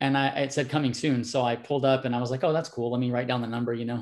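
A man speaks with an American accent in a flat, monotone delivery. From California dairy country, US. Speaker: personal trainer and fitness expert. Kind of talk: interview.

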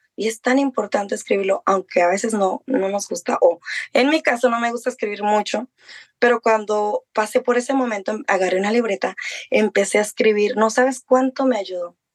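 With a normal speaking voice, a woman talks at a fairly quick pace and fairly high pitch, the sound dry and close with no echo. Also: ordinary pitch variation. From Mexico. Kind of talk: interview testimony.

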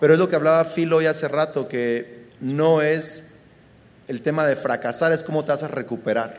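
Audible room echo around a man speaking fairly slowly, his pitch fairly high with ordinary variation. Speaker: pastor. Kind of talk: live podcast conversation. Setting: live recording at a conference.

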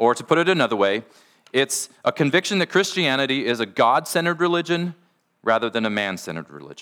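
A man at a very fast pace, medium in pitch, with very wide pitch swings, big swings in loudness, vocal fry and a bright, sharp tone, on a very clean recording with a silent background. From US Pacific Northwest (Washington). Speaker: pastor. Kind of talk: sermon.

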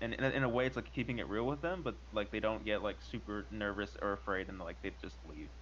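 A man with vocal fry talks at a very fast pace with hardly any pauses, his fairly low pitch making very wide swings. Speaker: podcast co-host. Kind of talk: casual group chat about anxiety.

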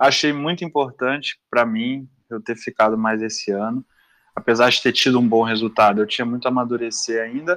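A man's unremarkable speaking voice, medium in pitch, at a fairly quick pace with fairly even intonation and a dry, close sound with no echo. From Minas Gerais, Brazil (Belo Horizonte, Sete Lagoas). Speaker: jiu-jitsu athlete. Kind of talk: casual interview chat.

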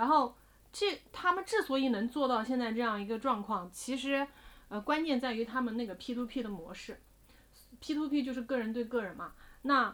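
Her intonation lively and her pitch high, a woman speaks at a moderate pace. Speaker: investment podcast co-host. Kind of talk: casual chat.

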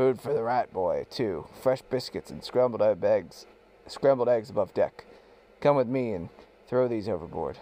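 Using a raspy, put-on character voice, a man of medium pitch talks at a moderate pace with ordinary pitch variation. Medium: read story. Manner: brusque, short sentences.

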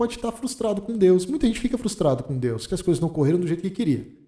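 A man's high-pitched voice, dark and mellow in tone, with very wide pitch swings. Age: 40s. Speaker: pastor and theology teacher. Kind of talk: casual theological discussion.

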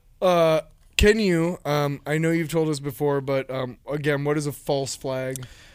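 An unremarkable speaking voice from a man, fairly high in pitch, with fairly even intonation at a fairly slow pace. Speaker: podcast host. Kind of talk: casual chat, joking. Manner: joking, interrupts often.

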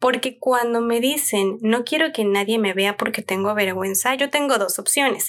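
A woman with a fairly high voice talks at a moderate pace with hardly any pauses, very even loudness and ordinary pitch variation. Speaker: parenting podcast host. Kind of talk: solo podcast talk. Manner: calm.

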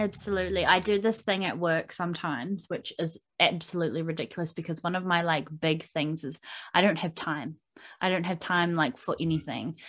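With a New Zealand accent, a woman speaks at a fairly quick pace and a fairly low pitch, with ordinary pitch variation, against a quiet background. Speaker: podcast host. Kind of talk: casual interview; podcast intro.

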